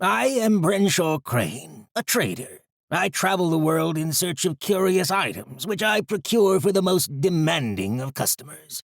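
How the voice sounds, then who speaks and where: A man puts on a high-pitched character voice with lively intonation, barely pausing, recorded dry and close with no echo. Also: moderate pace. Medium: read story. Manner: formal, measured.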